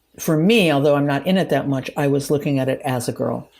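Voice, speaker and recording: Her voice is very deep and low, dark and mellow, with vocal fry and fairly even intonation. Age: 60s. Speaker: author. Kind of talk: interview. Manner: halting.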